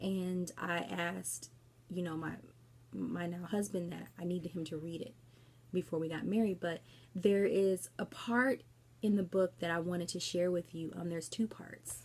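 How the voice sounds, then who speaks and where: A soft-spoken woman talks at a fairly low pitch, her voice somewhat breathy. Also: ordinary pitch variation, moderate pace. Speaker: book vlogger. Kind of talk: casual book review vlog. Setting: at home late at night. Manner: quiet, soft-spoken; hesitant, many fillers.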